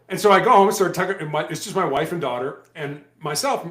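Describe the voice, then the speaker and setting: Audible room echo follows a man who talks very fast at a high pitch. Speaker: former police hostage negotiator, cancer survivor, author. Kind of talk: interview.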